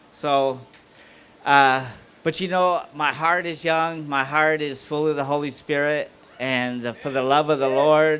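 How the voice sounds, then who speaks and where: Talking at a fairly slow pace, a man uses a plain, everyday voice in a fairly high pitch. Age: 60s. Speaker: former prisoner, guest speaker. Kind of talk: testimony.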